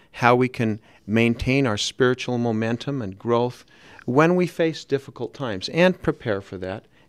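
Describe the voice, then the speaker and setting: Against a quiet background, a man with an American accent speaks at a moderate pace and medium pitch. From Salt Lake City, Utah. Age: 50s. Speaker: author. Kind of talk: radio interview. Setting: radio studio. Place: studio. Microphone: studio mic.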